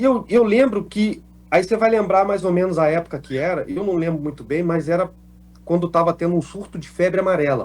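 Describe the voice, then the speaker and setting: A male voice pitched high, moving fairly quickly, its pitch varying in a normal way. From Minas Gerais, Brazil (Alfenas). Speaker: actor. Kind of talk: interview, telling life story. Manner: casual, animated storytelling.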